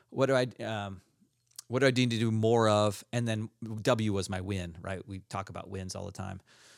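Fairly low male voice at a moderate pace, fairly even intonation, on a very clean recording with a silent background. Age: 50s. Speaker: podcast host. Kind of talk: casual chat. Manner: halting.

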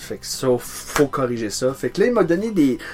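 Here a man speaks with an Acadian accent at a moderate pace. His pitch varies normally, and noticeable background noise is present. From New Brunswick, Acadia. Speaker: singer-songwriter. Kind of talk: casual chat. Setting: home studio in a garage.

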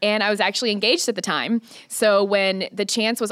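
Talking at a very fast pace, a woman with an American accent uses a bright, sharp tone and fairly even intonation. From Missouri, US Midwest. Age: 20s. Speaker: lead trainer for hairstylists. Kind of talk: podcast interview. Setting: studio.

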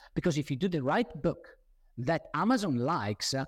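Animated and at a moderate pace, a man with a non-native accent speaks at a fairly high pitch with very wide pitch swings, the sound dry and close with no echo. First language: not English. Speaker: webinar host, author and nutrition business coach. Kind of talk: webinar presentation. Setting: online webinar. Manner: animated, with many fillers and repetitions.

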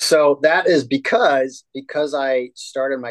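This voice has an American accent and a dry, close sound with no echo. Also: man. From upstate New York. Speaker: holistic health coach. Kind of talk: interview. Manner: animated.

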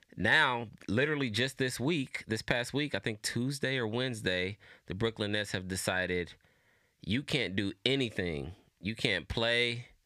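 On a very clean recording with a silent background, a man speaks with a normal speaking voice. His pace is moderate and his intonation lively. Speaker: podcast co-host. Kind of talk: casual chat. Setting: studio. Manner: casual, relaxed.

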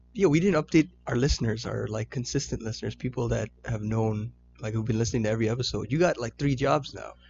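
Speaking very fast with a Canadian accent, a man of medium pitch shows vocal fry and ordinary pitch variation. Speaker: podcast co-host. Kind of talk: casual chat.

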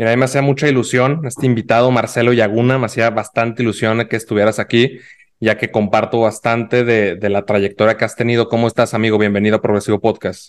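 A man at a very fast pace with hardly any pauses, medium in pitch, his intonation fairly even. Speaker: podcast host. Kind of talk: podcast interview.

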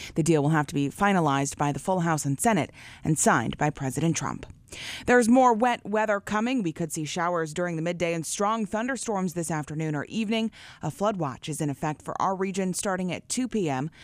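A woman with a normal speaking voice talks at a fairly quick pace and a fairly low pitch, her intonation lively, in a very clean recording with a silent background. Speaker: radio news anchor. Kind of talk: news reading. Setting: studio.

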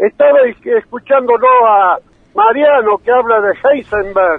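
The speech moves at a very slow pace. Pitch varies in an ordinary way. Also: man. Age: 80s+. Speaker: agricultural engineer. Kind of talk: phone call. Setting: phone call.

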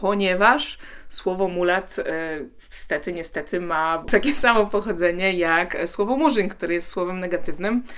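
A woman with a bright, sharp tone and fairly low pitch speaks at a fairly slow pace with ordinary pitch variation. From Poland. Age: 20s. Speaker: TikToker and activist. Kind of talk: interview.

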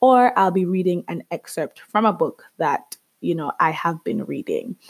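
A woman talks at a moderate pace with a medium pitch and lively intonation. The sound is dry and close with no echo. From Jamaica. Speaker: podcast host. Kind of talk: podcast trailer monologue. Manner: casual, laughing.

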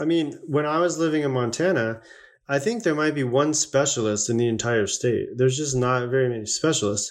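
The speaker has an American accent and an ordinary speaking voice. The pace is fairly quick, the loudness very even, and the pitch variation ordinary. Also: man, fairly high pitch for a man. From US West, Las Vegas, Nevada. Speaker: veterinarian. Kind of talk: casual interview.

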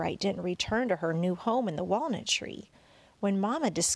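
This clip is plain reading aloud.

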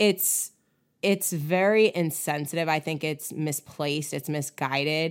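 A woman speaks fairly slowly in a very deep, low pitch. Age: 30s. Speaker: podcast co-host, cannabis company co-owner. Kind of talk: casual chat. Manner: animated.

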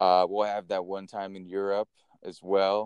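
A man with a Californian accent, very deep and low in pitch, at a moderate pace, in a dry, close sound with no echo. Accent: Californian American English. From California, Napa Valley. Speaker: podcast co-host. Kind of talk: casual storytelling chat.

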